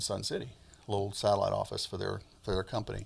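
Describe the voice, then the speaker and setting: A man with an American accent, somewhat breathy, at a very fast pace. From US Midwest and South (Alabama, Michigan, Georgia). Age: 60s. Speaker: funeral home owner. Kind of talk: interview.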